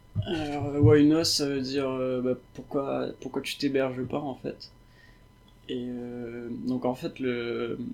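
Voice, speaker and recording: A man's medium-pitched voice moves at a very slow pace, its intonation fairly even. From Réunion. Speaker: software developer. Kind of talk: interview.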